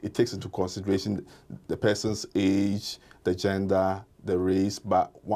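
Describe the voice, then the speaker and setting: A man's fairly low, dark, mellow voice with monotone, flat intonation and a strong non-native accent, in a very clean recording with a silent background. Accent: thick non-native. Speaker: kidney and hypertension doctor. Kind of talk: interview.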